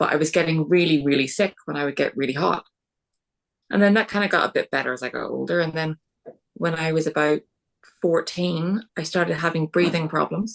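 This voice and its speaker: A woman speaks in a Northern Irish accent at a fairly quick pace, her fairly low pitch showing vocal fry. Her pitch variation is ordinary, and the sound is dry and close with no echo. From Northern Ireland. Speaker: podcast guest with multiple sclerosis. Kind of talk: interview.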